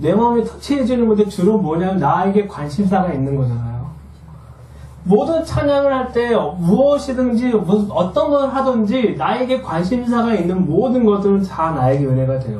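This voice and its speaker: Over noticeable background noise, the speaker uses an animated tone at a moderate pace. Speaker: missionary. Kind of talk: lecture. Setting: hall with audience.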